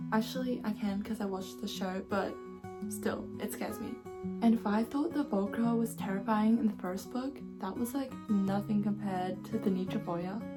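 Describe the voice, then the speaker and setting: Music plays behind a voice going at a moderate pace. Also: woman. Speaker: booktuber. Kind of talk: casual book review talk to camera.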